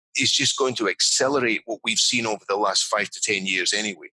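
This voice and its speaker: Delivered at a fairly quick pace with a Scottish accent, the voice sounds dry and close, with no echo. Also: man. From Scotland. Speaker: business leadership consultant. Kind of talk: interview.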